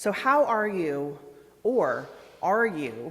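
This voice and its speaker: A woman's booming voice carries audible room echo. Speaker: minister. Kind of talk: guided breathing; worship service welcome. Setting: church sanctuary with congregation, also streamed on Zoom. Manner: calm and soothing.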